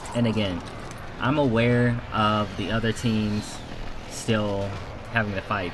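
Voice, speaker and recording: A man speaks in a fairly low voice. The recording has audible room echo and noticeable background noise. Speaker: gaming streamer. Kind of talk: gameplay commentary breakdown.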